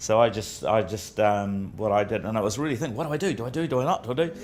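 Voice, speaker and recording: A man speaks at a very fast pace with a New Zealand accent. His pitch is medium. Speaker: business executive. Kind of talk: Q&A talk. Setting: breakfast event with audience. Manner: halting.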